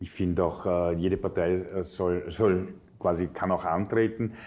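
Here a man speaks with a very deep, low pitch. His intonation stays fairly even. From Vienna, Austria; Austria. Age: 50s. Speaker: politician; politician interviewee. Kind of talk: interview. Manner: frequent filler hesitations. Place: studio. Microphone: lapel.

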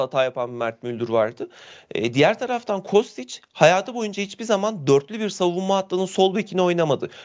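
This man talks at a fairly quick pace in a high pitch, his voice making very wide pitch swings. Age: 30s. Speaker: sports commentator. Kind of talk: live video interview. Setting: video call.

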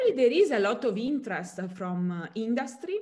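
Speech in an Italian accent moves at a moderate pace with very wide pitch swings. Faint music plays in the background. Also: woman. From southern Italy. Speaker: chemistry professor. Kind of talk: interview. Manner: halting, many fillers. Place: home room. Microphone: webcam.

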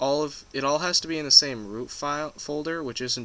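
The voice moves at a very fast pace with a bright, sharp tone against a quiet background. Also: man. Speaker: game development tutorial youtuber. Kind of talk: tutorial. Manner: casual, joking.

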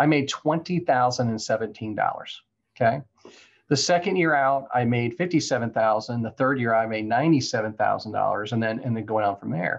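Against a quiet background, a man with an American accent talks at a fairly quick pace with ordinary pitch variation. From Florida. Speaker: real estate entrepreneur. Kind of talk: interview. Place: office. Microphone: video call.

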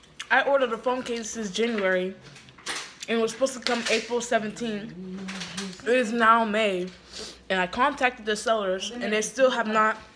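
Long, frequent pauses mark a woman's speech with fairly even intonation. Background noise is noticeable. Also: moderate pace. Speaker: vlogger. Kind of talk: casual vlog chat. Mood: annoyed, disappointed. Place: home room. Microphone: phone near.

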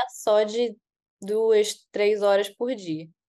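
A woman with a medium-pitched voice talks, and the background is quiet. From Brazil, Rio de Janeiro city. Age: 20s. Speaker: veterinarian, exam-passer; guest. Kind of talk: interview. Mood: calm, pleased. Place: home room. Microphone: video call.

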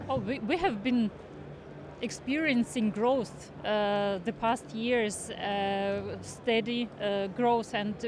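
A woman speaks at a slow pace and a fairly high pitch. Her pitch varies in an ordinary way.

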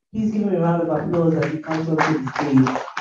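Her voice is fairly low for a woman, somewhat breathy and dark and mellow in tone, with ordinary pitch variation. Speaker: panel moderator, lawyer. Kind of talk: panel moderation. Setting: stage with audience.

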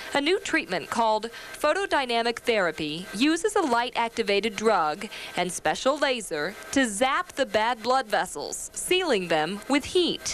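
Over light background noise, the voice keeps very even loudness while making very wide pitch swings. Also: woman, fairly high pitch for a woman, moderate pace. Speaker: health reporter. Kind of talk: packaged TV health news report.

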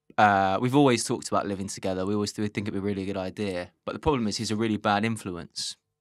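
With a London accent, a man speaks very fast in a fairly low pitch and fairly even intonation, the sound dry with no echo. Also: quiet background. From London, Islington. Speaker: comedian. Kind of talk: casual chat. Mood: amused, storytelling. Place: studio. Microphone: studio mic.

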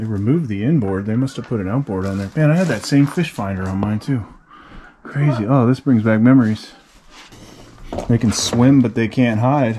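Light background noise sits behind a man talking at a fairly quick pace with ordinary pitch variation. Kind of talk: casual exploration commentary. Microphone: phone near.

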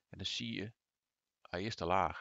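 Against a quiet background, a man with vocal fry speaks at a moderate pace with ordinary pitch variation. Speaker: gaming YouTuber. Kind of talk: tutorial. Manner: hesitant, many filler sounds.

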